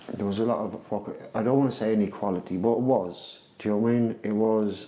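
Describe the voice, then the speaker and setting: A man's voice, fairly low-pitched, monotone and flat, at a very fast pace. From Ireland, Irish Traveller community. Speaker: person with lived experience of addiction. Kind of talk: testimony.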